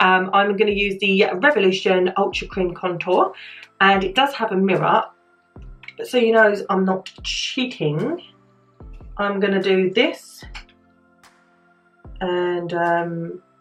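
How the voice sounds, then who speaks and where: With music in the background, the speaker talks in a British accent with ordinary pitch variation and long, frequent pauses. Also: woman. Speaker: beauty vlogger. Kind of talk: casual talk to camera. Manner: light-hearted, chatty.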